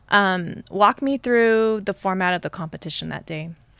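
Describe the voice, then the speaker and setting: The recording is very clean, with a silent background. A woman speaks in a plain, everyday voice. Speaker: guest host interviewer. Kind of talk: ring announcer intro, playful. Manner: warm, teasing.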